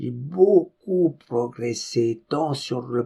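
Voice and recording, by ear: The reader speaks the text in a natural voice with lively intonation.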